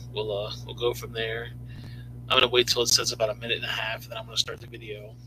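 Light background noise runs throughout. Over it, a man talks. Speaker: channel host. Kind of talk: casual live stream chat. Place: home room. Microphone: webcam.

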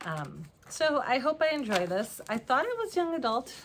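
Noticeable background noise sits behind a woman talking at a moderate pace. Her pitch swings very widely. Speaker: knitting vlogger. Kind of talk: casual vlog monologue. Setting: home recording in basement. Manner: halting, trips on words. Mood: warm, enthusiastic. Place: home room. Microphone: camera far.

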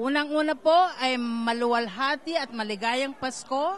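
Speaking at a very slow pace and high pitch, a woman shows ordinary pitch variation in a dry sound with no echo and light background noise. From Philippines. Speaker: community leader; guest. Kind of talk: event interview. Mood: warm, hopeful. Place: hall. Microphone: handheld.

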